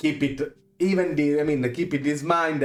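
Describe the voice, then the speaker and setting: A man talks at a moderate pace with an Italian accent. His pitch varies in an ordinary way. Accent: Italian accent, noticeable. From Italy. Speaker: video game content creator. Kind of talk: tutorial. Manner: halting, many fillers.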